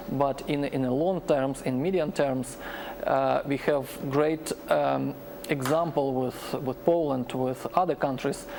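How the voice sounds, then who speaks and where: Fairly slow speech with ordinary pitch variation against noticeable background noise. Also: man. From Ukraine. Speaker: Ukrainian commentator. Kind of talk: tv panel discussion. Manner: halting, many repetitions.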